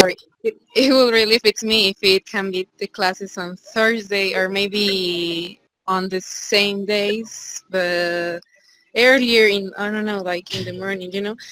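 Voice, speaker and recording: In a Spanish accent, a woman speaks at a medium pitch and a fairly slow pace. Her intonation is fairly even, and the sound is dry and close with no echo. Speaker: student, English teacher. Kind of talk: casual chat.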